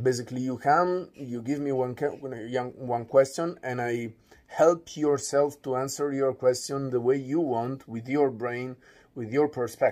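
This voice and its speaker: A man speaks with an Italian accent at a medium pitch. His intonation is fairly even. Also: fairly slow pace. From Italy. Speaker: philosopher. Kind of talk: radio interview. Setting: studio.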